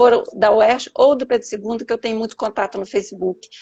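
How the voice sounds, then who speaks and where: A woman speaks in a high-pitched voice. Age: 70s. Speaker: teacher and poet. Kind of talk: interview on a live stream.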